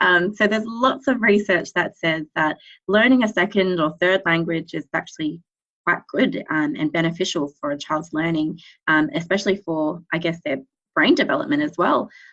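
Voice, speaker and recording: Speaking at a moderate pace with an Australian accent, a woman uses a fairly low pitch and lively intonation. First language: Cambodian. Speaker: speech pathologist. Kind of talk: interview. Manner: hesitant, many fillers.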